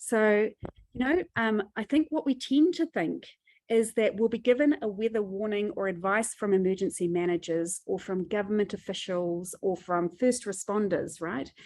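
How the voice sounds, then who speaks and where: Speaking with a New Zealand accent, a woman uses lively intonation at a medium pitch and moderate pace. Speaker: disaster psychology expert. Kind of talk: webinar presentation. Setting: video call.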